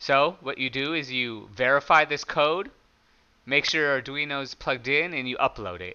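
A loud man at medium pitch, moderate in pace, with a clear, smooth yet bright, sharp tone and ordinary pitch variation

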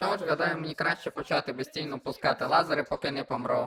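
This is a put-on character voice at a middle pitch. It moves at a very fast pace. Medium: fan dub. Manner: pompous.

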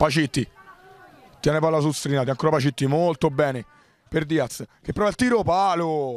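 An animated man's voice with ordinary pitch variation and long, frequent pauses, dry and close with no echo. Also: fairly high pitch for a man. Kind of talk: live sports commentary on a futsal match. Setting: at the venue, commentating during the match. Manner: fast, rapid-fire, excitable, reeling off player names and actions; animated, rising to exclamations on goals.

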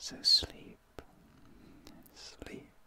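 Someone is whispering over light background noise. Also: man. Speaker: ASMR creator. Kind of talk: soft sleep-aid ASMR talk. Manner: slow tender whisper lulling to sleep. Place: home room.

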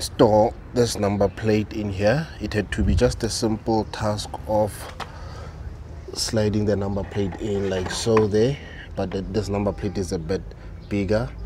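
A fairly low-pitched man's voice at a fairly slow pace, dry with no echo, over noticeable background noise. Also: ordinary pitch variation. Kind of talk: casual vlog chat. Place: street. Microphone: phone near.

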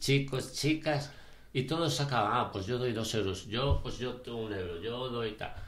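Audible room echo surrounds a man who talks at a fairly slow pace with ordinary pitch variation. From Galicia, Spain (Ourense province); Galicia, Spain. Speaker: charity ultramarathon runner; interview guest. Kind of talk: casual chat. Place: studio.

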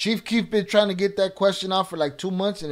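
A man with an American accent speaks at a fairly quick pace over a quiet background. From Chicago north side. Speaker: YouTube livestream host; livestream host. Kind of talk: live stream Q&A.

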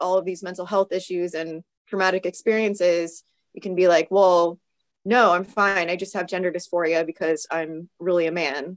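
Raspy and hoarse, a woman's fairly low voice moves at a moderate pace with fairly even intonation.

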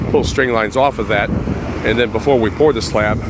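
A man at a moderate pace, dry with no echo, against loud background noise. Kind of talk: casual vlog commentary. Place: street. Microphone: phone near.

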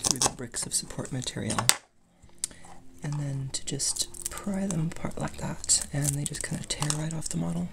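The speaker whispers at a moderate pace. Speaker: 3D printing hobbyist. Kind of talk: casual hobbyist demo talk. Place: workshop. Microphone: phone near.

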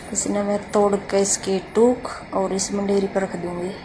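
A woman's medium-pitched, slightly mellow voice at a fairly slow pace, with little pitch movement and audible room echo.

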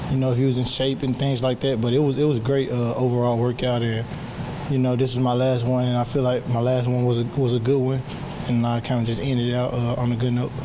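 Over noticeable background noise, a man speaks very fast in a monotone, flat intonation. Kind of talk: interview answer. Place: hall. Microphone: handheld.

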